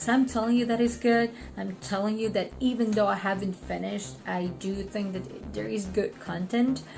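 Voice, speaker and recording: A woman mumbles at a moderate pace. She speaks with hardly any pauses. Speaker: online student vlogger. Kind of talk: casual vlog update. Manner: mumbling.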